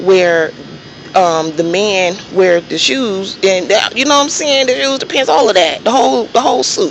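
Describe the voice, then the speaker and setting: A woman at medium pitch and moderate pace, with noticeable background noise. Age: 30s. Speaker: vlogger, registered nurse. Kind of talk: casual monologue vlog. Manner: soft-spoken; halting.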